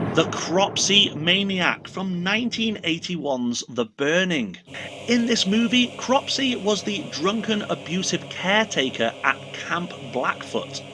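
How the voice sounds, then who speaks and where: A man with a high pitch talks at a fairly slow pace with very wide pitch swings, over noticeable background noise. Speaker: horror movie reviewer. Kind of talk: casual talk to camera. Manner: humorous.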